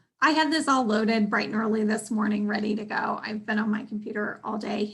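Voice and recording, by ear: A woman's put-on character voice, hoarse and raspy, fairly high in pitch, with fairly even intonation and a very fast pace.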